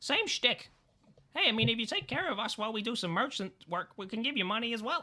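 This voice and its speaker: A put-on character voice, fairly high in pitch, at a very fast pace. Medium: actual play. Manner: casual, rambling.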